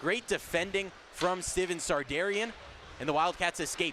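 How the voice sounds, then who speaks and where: An energetic, high-pitched man's voice over noticeable background noise. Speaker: play-by-play broadcaster. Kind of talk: live radio sports play-by-play. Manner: fast, energetic.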